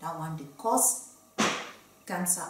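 Here a woman talks at a moderate pace. The room's echo can be heard. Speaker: medical doctor. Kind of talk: health education talk to camera. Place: studio.

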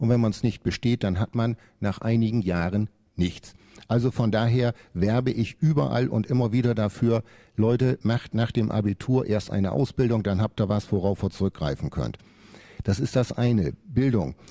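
A man's medium-pitched voice in a dark, mellow tone, moderate pace and ordinary pitch variation, with very even loudness over a quiet background. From Lower Saxony, Oldenburg; Lower Saxony. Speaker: parliamentary candidate; candidate. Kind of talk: radio panel debate. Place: studio.

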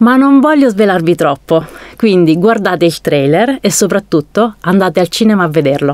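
A woman speaks at a moderate pace with very wide pitch swings and very even loudness. The sound is dry with no echo, against a quiet background. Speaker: film narrator. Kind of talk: casual talk to camera. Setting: studio. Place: booth.

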